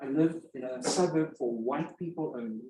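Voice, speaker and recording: With a South African accent, a man talks in a fairly high pitch with lively intonation. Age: 70s. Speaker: storyteller. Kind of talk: storytelling talk.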